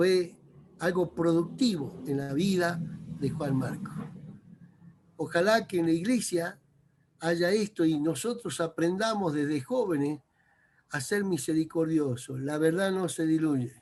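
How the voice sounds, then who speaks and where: A man with a high pitch and ordinary pitch variation speaks at a fairly slow pace, leaving long, frequent pauses. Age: 60s. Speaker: preacher. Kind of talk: sermon.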